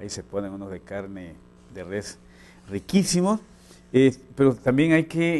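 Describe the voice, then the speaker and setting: Light background noise accompanies a man speaking at a fairly slow pace in a dark, mellow tone. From Chiapas, Mexico (rural, near Cintalapa). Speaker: news anchor and columnist. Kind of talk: news broadcast with casual banter. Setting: studio. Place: studio. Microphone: lapel.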